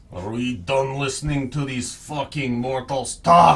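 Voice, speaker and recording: A man's put-on character voice with a Russian accent, medium pitch and a fairly slow pace. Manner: menacing, contemptuous.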